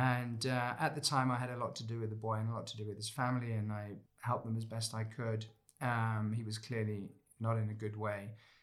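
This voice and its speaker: A man talks at a fairly quick pace with monotone, flat intonation. The room echo is audible. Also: medium pitch for a man. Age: 50s. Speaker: former war correspondent and lecturer. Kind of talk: interview conversation.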